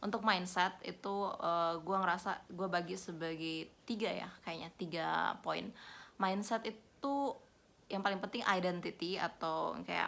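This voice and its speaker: The pitch of this woman's voice sits in the medium range. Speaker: vlogger. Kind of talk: casual vlog talk, code-switching Indonesian and English. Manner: casual, with hesitations.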